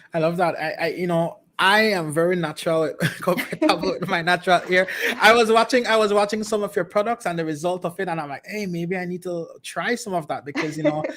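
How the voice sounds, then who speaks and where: A man speaks at a high pitch with ordinary pitch variation and a fairly quick pace. Noticeable background noise runs behind him. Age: young. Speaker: talk show host. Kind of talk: interview.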